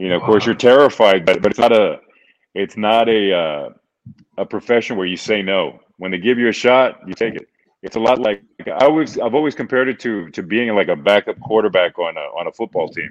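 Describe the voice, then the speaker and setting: A man's plain, everyday voice at a medium pitch and a fairly quick pace. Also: ordinary pitch variation. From Texas (Houston), born in Reynosa, Mexico. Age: 50s. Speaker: boxing ring announcer. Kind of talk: casual interview.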